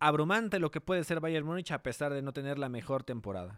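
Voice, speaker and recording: A man with a plain, everyday voice and a fairly high pitch is heard in a dry, close sound with no echo, on a very clean recording with a silent background. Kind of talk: radio sports panel discussion, match analysis. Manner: conversational, fluent, analytical.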